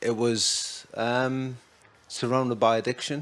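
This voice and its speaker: A man with a Geordie accent. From Newcastle, North East England. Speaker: recovering addict. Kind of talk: podcast interview.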